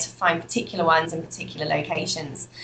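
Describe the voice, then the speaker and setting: A woman's voice with a British accent, over noticeable background noise. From UK. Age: 20s. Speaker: entrepreneur and trainer. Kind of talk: interview.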